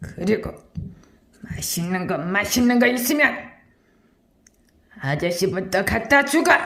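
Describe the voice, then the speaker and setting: A put-on character voice, pitched fairly high, moves at a fairly slow pace with long, frequent pauses. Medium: role play. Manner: gruff, domineering.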